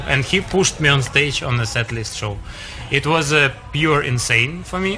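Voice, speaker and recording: Someone speaks with a Russian accent at a moderate pace. Noticeable background noise runs underneath. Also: man, fairly high pitch for a man, ordinary pitch variation. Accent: Russian accent, foreigner speaking English. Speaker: stand-up comedian. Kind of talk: casual chat. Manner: halting.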